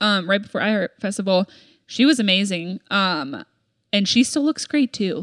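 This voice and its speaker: An ordinary speaking voice with lively intonation moves at a moderate pace, recorded dry and close with no echo in a very clean recording with a silent background. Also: woman, medium pitch for a woman. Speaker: podcast co-host. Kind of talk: casual chat.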